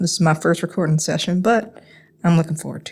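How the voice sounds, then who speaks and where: Speaking in a Southern US accent, a woman has a medium-pitched voice. The recording is very clean with a silent background. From North Carolina, USA. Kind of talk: casual introduction.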